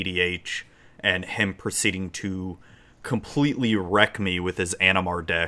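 A man with an American accent has a very deep, low pitch and a bright, sharp tone. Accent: slight Southern US, drawl when drunk. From Florida, US South. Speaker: livestreamer and podcast host. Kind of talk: casual livestream chat. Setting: live stream online.

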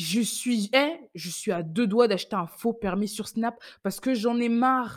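A woman talks in an animated tone. Her pitch sits fairly high. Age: 20s. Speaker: podcaster. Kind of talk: casual monologue, personal storytelling. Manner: animated, laughing often.

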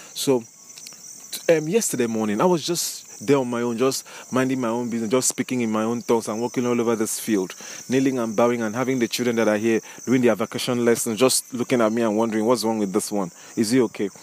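Noticeable background noise accompanies a man who talks at a very fast pace. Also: medium pitch for a man, fairly even intonation. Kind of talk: devotional teaching with prayer. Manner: fervent, prayerful.

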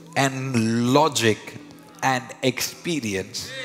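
A man's animated voice over noticeable background noise. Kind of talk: sermon. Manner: animated, urgent preacher cadence, calling the crowd to respond.

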